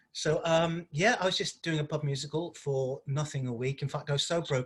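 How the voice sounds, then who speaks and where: A man's somewhat breathy voice at a fairly high pitch. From Liverpool, England. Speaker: stage actor. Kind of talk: interview.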